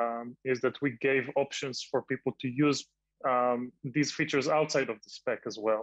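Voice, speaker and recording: A man talks at a fairly slow pace with fairly even intonation. The sound is dry with no echo, and the background is quiet. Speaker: open source software developer; panelist. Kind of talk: panel discussion. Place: home room. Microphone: video call.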